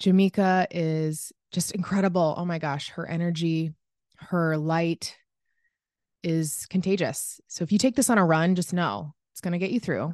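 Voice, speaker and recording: In a normal speaking voice, a woman talks at a moderate pace with a fairly low pitch, ordinary pitch variation and big swings in loudness, against a quiet background. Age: 30s. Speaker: podcast host. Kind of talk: casual interview. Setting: remote call.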